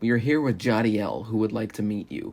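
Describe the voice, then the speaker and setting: A put-on character voice from a man, raspy and medium in pitch, at a fairly quick pace. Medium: read story.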